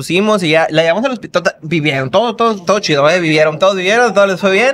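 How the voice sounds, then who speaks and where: A man talks very fast in a high voice. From Hermosillo, Sonora, Mexico; Sonora, Mexico. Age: 30s. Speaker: food content creator. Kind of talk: casual chat. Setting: restaurant. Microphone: studio mic.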